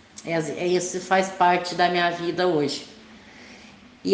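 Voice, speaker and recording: A woman speaks very slowly, with audible room echo. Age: 50s. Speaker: farmer. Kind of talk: testimony.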